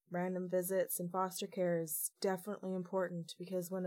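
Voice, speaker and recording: At a moderate pace, a woman talks in an ordinary speaking voice at medium pitch. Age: 20s. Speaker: former youth in care, youth advocate. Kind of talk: podcast interview.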